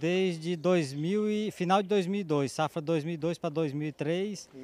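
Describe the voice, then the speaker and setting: Recorded with a dry, close sound and no echo, a man speaks at a high pitch with ordinary pitch variation. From Maranhão, Brazil. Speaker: farmer. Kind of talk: interview.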